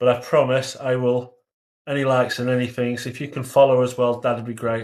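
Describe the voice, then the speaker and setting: A man speaks at a medium pitch with an English accent. His intonation is monotone and flat. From England. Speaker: livestreamer discussing conspiracy theories. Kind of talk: live stream chat reading comments. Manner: hesitant, many fillers.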